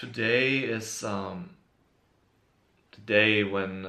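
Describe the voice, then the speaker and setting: A man in a German accent with a bright, sharp tone and audible room echo. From Germany. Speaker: YouTuber, hip hop fan. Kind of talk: casual video monologue. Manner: halting, many fillers.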